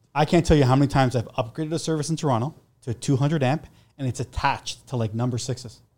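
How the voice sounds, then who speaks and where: Speaking at a very fast pace, a man has a somewhat breathy, medium-pitched voice with fairly even intonation on a very clean recording with a silent background. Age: 40s. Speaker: electrician and generator installer. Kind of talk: casual chat.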